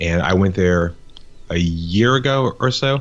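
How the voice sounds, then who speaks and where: This man has a very deep, low voice. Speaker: business owner in marketing. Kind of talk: podcast interview. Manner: casual, with repetitions.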